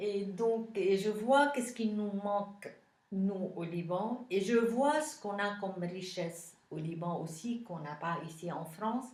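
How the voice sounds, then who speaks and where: With a Lebanese accent, the speaker talks at a very slow pace with ordinary pitch variation, and audible room echo surrounds the voice. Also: woman, medium pitch for a woman. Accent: Lebanese, unchanged. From Lebanon. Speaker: politician. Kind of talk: interview. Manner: hesitant, many fillers.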